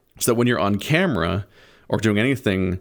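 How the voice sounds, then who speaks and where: A man's fairly low voice, with ordinary pitch variation, comes through on a very clean recording against a silent background. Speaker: YouTuber. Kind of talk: casual rambling monologue. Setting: alone in a room, VR full body tracking. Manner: loud; animated.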